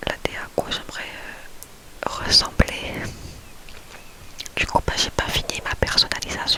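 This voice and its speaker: A woman whispers at a fairly slow pace with long, frequent pauses. Background noise is noticeable. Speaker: ASMR youtuber. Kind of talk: casual ASMR chat.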